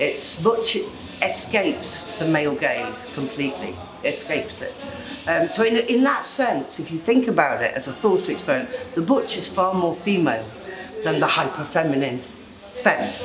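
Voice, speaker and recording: Over music in the background, a woman talks at a moderate pace in a medium pitch, with very wide pitch swings. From UK. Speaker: poet. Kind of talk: interview answer.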